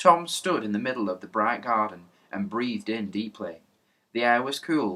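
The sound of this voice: Lively intonation in an unforced reading voice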